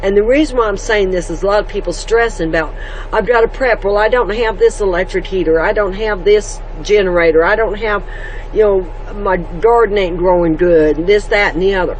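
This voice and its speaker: Someone speaks at a fairly quick pace with an American accent. Noticeable background noise runs underneath. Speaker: homestead vlogger. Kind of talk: casual devotional talk. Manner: loud.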